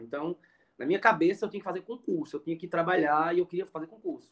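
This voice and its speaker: Speaking at a very fast pace, a man uses a high pitch. His intonation is lively. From Pernambuco interior, Brazil. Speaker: education professor. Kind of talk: interview conversation. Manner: halting, many fillers.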